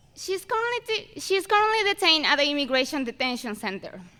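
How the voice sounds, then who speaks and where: Fairly quickly, a woman speaks in a raised, projected voice, high in pitch with very wide pitch swings. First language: not English. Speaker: valedictorian student speaker. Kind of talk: commencement speech. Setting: stage with audience at graduation ceremony. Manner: halting with self-corrections.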